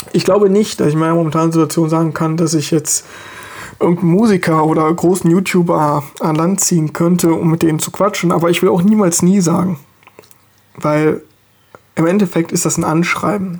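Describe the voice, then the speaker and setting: Fairly even in intonation, a man talks with a high pitch. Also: fairly quick pace. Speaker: podcast host. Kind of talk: solo monologue.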